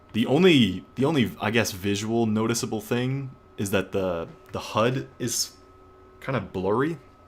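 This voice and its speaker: A man talks at a fairly slow pace in an ordinary speaking voice of medium pitch. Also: lively intonation. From Canada. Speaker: gaming streamer. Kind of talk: live stream commentary. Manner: casual with many fillers.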